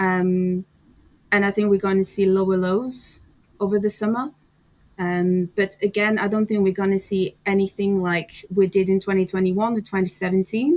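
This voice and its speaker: A woman speaks in a French accent at a moderate pace and a medium pitch. Her intonation is monotone and flat, and her loudness stays very even. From France. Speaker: crypto commentator. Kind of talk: casual chat.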